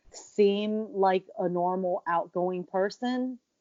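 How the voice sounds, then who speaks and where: Her American accent comes through as a woman talks with ordinary pitch variation. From USA. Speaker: professional wrestler. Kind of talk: interview conversation.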